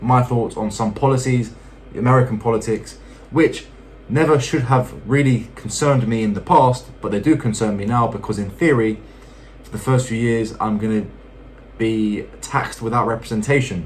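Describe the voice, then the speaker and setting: A man with a British accent, medium pitch and fairly even intonation, at a fairly quick pace over noticeable background noise. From UK. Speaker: YouTuber. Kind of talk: casual vlog talk to viewers. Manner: hesitant, many fillers.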